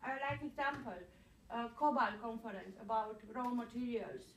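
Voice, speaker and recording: A woman with a non-native accent speaks at a fairly slow pace with ordinary pitch variation, and audible room echo surrounds her. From Germany. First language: German. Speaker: activist. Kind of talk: public hearing question.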